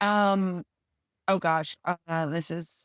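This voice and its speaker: A woman with an unremarkable speaking voice talks at a fairly low pitch with fairly even intonation, with a dry, close sound with no echo on a very clean recording with a silent background. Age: 30s. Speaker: podcast host. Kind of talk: casual chat.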